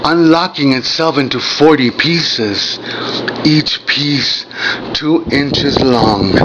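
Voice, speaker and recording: Noticeable background noise sits behind a man talking at a very slow pace. His voice is fairly high, with ordinary pitch variation. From Mexico. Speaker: poet. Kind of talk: poetry reading.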